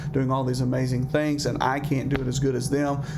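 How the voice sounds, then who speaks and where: A man talks very fast at a medium pitch, his intonation flat and monotone. Noticeable background noise runs under his voice. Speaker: counselor presenting a seminar. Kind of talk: seminar presentation.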